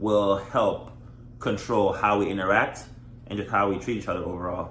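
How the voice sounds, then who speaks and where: Heard with audible room echo, a man with a fairly low pitch speaks at a moderate pace with ordinary pitch variation. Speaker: married vlogger. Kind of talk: casual chat. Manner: loud.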